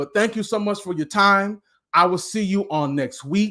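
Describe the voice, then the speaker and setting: With a very clean recording and a silent background, a man speaks in a bright, sharp, animated, passionate tone, at a high pitch and moderate pace with ordinary pitch variation. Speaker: motivational speaker and life coach. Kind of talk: live-streamed motivational talk. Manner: loud, yelling.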